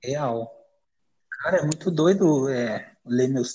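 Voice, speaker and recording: This man speaks at a fairly slow pace in a fairly high voice with a dark, mellow tone and a somewhat breathy quality. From Brazil, São Paulo area (Carapicuíba). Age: 20s. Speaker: poet. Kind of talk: casual interview. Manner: casual, slangy.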